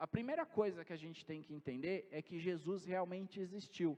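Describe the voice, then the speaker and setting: The speaker is a man with a high-pitched voice. He talks at a moderate pace. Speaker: pastor. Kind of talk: sermon.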